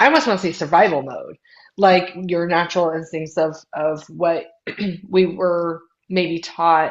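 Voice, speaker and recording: A woman speaks at a fairly slow pace in a plain, everyday voice, with a fairly low pitch and fairly even intonation. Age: 30s. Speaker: podcast co-host. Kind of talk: casual chat.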